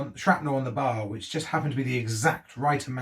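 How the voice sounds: The voice heard here is a natural reading voice.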